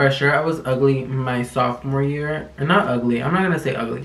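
The intonation of this man's speech stays fairly even. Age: 20s. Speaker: youtuber. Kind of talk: casual vlog talk to camera. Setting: home recording, talking to camera. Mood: sassy, joking, dramatic. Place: home room.

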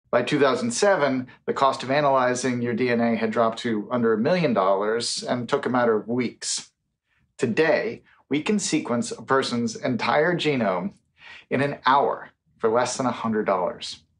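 Lively intonation marks this man's fairly slow speech. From United States. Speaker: futurist and science author; speaker. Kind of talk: conference keynote speech. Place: home room.

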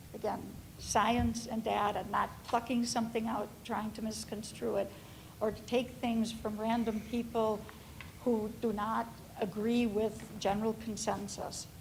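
Speaking fairly slowly in a fairly high pitch, a woman keeps a monotone, flat intonation while audible room echo surrounds her voice. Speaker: family physician, public commenter. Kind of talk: public comment at school board meeting.

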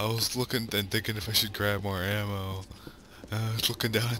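Fairly low-pitched male voice at a fairly quick pace amid noticeable background noise. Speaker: gaming video creator. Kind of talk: let's play commentary. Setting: home recording in the dark. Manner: animated; louder than usual. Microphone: new mic setup, maybe less breathing.

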